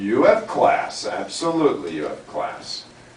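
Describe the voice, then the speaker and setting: Fairly slow speech with an American accent, audible room echo and noticeable background noise. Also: man. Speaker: English teacher. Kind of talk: classroom lesson. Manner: slow, deliberate speech; animated.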